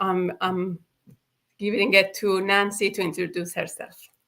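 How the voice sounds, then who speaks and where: A woman with a Persian accent speaks in a monotone, flat way with a bright, sharp tone. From Iran. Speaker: hairstylist and online business mentor. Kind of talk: live stream introduction. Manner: halting, many fillers.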